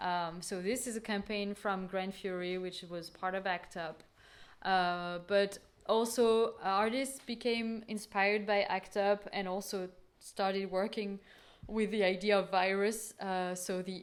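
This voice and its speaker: A woman speaks fairly slowly at a medium pitch, her intonation monotone and flat. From France. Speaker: art curator and researcher. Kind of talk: lecture. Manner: hesitant, many fillers.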